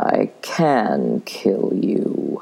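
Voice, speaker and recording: A man performs in a put-on character voice. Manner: confident, calm, menacing.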